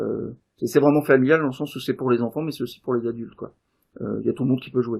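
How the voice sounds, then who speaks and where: Speaking at a very fast pace, a man with a medium pitch shows big swings in loudness. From Davos. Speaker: game designer and event organiser. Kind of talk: casual interview. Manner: hesitant, many fillers.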